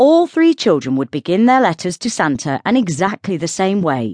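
A woman's fairly low voice in a British accent, with a warm, animated tone and very wide pitch swings, in a dry, close sound with no echo and a quiet background. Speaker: audiobook narrator. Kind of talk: audiobook narration, scripted reading aloud of a British Christmas novella. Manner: warm, even storyteller's pace, gently whimsical and lightly animated.

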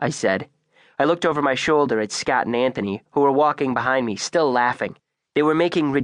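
Simple reading aloud, ordinary pitch movement, and a quiet backdrop

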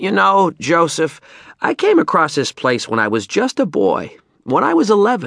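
In a put-on character voice, a man speaks at a moderate pace with a fairly high pitch, very wide pitch swings, a fairly bright tone and vocal fry, on a very clean recording with a silent background.

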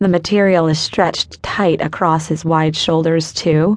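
A woman with a plain, everyday voice, fairly low in pitch, with fairly even intonation and a fairly slow pace. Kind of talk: dramatic audiobook narration, first-person romance. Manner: hushed, intense, emotionally charged; measured, slow, suspenseful pacing.

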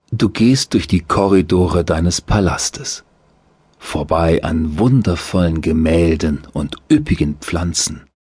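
Very slowly, a man speaks in a very deep, low voice that is somewhat breathy, with a soothing, calm tone and ordinary pitch variation. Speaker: audiobook narrator. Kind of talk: guided meditation. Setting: studio. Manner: slow, soothing, calm.

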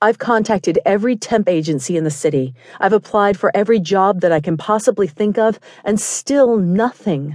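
At a moderate pace, a woman with an unremarkable speaking voice talks at a medium pitch with lively intonation, the sound dry and close with no echo. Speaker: audiobook narrator. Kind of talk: audiobook narration, first-person romance. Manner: intimate, measured storytelling with a tense, desperate tone.

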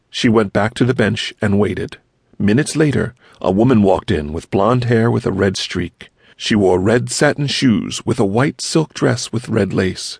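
Lively intonation and an animated tone from a man with a fairly low pitch and vocal fry, in a dry, close sound with no echo. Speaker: audiobook narrator. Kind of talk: audiobook narration. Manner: animated, storytelling, voicing characters; gentle, child-friendly pacing.

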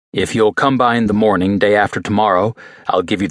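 Fairly even intonation marks this natural reading voice.

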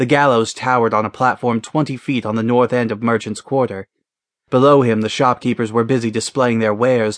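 Reading aloud in a natural voice with fairly even intonation against a quiet background

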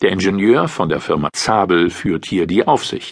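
A man talks in an ordinary speaking voice at a fairly low pitch. His pace is fairly slow. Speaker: audiobook narrator. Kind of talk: formal newsreading, scripted article narration. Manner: formal; even, measured.

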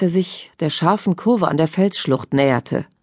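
Against a quiet background, a woman talks at a moderate pace in a plain, everyday voice with ordinary pitch variation. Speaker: audiobook narrator. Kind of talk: dramatic audiobook narration of a crime thriller.

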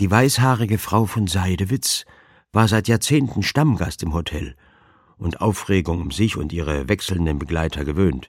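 Over a silent background on a very clean recording, a man with a very deep, low pitch talks at a moderate pace with lively intonation. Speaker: audiobook narrator. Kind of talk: dramatic audiobook narration, reading aloud a humorous crime story. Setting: studio. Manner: animated, playful character voices, drily comic; mimics fussy elderly ladies and a pompous dowager, dramatic pauses.

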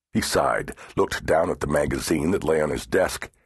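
Speaking at a fairly slow pace, a man shows vocal fry. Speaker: audiobook narrator. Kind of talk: dramatic audiobook narration of a horror novel. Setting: studio. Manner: measured, suspense-building pacing; tense, ominous delivery at the reveal.

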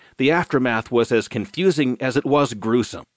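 A man with an unremarkable speaking voice talks at a moderate pace, his pitch medium. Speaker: audiobook news narrator. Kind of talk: newsreading narration of a scripted daily newspaper digest. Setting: studio audiobook recording. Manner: formal, measured and steady, grave tone for the attack story; clear, even, professional delivery.

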